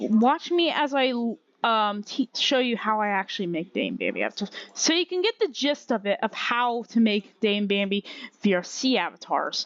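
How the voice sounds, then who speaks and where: At a moderate pace, a woman talks with lively intonation and a fairly high pitch, the sound dry and close with no echo over a quiet background. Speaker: Blender tutorial maker. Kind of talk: tutorial. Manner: halting, many fillers and restarts.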